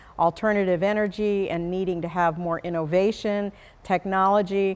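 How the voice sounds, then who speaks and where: A woman has an unremarkable speaking voice at a medium pitch and a moderate pace. The recording is very clean, with a silent background. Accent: American. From Arizona, US. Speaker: attorney. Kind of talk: interview.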